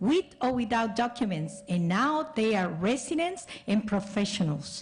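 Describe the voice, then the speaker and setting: A woman speaks fairly slowly in a fairly high, somewhat breathy voice. Her pitch swings very widely. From El Salvador. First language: Spanish. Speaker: school board member and candidate. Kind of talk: candidate forum answer.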